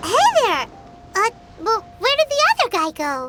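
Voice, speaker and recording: With music in the background, a put-on character voice at an extremely high pitch swings very widely in pitch, with an energetic tone and moderate pace. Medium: video game. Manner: energetic, chatty.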